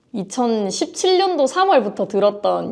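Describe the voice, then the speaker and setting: A woman speaks with a slight Busan accent and lively intonation. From South Korea, Busan. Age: 20s. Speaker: real estate auction investor. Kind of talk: interview. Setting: filmed on location.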